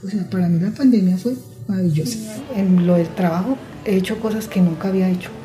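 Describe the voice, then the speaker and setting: A woman talks fairly quickly at a medium pitch with ordinary pitch variation. Audible room echo and noticeable background noise fill the recording. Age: 50s. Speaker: seamstress. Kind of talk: interview testimony.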